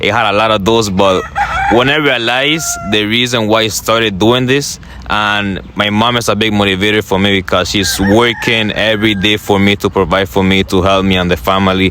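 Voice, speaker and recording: A man talks at a fairly quick pace in a fairly low voice with ordinary pitch variation and very even loudness, with noticeable background noise. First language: not English. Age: young. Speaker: motivational content creator. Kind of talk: interview.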